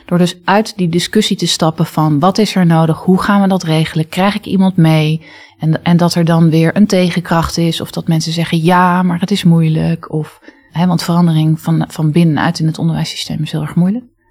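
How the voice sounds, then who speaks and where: Flat, monotone intonation marks a woman's fairly low voice. Her pace is moderate. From international upbringing, early childhood in Indonesia. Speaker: future school leader, former English teacher. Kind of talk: interview. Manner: assertive.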